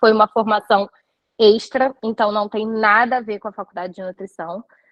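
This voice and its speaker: Delivered at a middling speed, the speech is in a normal speaking voice. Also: woman. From Rio de Janeiro, Brazil. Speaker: nutritionist. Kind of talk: live online talk. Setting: live stream.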